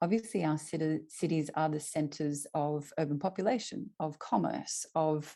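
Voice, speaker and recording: Against a quiet background, a woman with an Australian accent speaks at a fairly slow pace in a very deep, low pitch with a dark, mellow tone. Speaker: climate network innovation lead. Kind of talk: presentation. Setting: video call.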